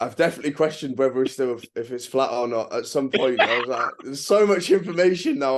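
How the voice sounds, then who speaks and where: This man has an English accent and a fairly high pitch. His pace is fairly quick, with hardly any pauses and ordinary pitch variation. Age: 30s. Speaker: travel vlogger. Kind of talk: casual chat. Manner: halting.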